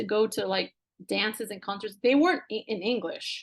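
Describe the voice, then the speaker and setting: Fairly high in pitch, a woman talks with a Spanish accent. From US West Coast (Central Coast of California). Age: 40s. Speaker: business executive and entrepreneur. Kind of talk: interview conversation.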